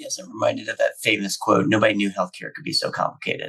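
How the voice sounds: This man talks at a very fast clip in a put-on character voice. The sound is raspy.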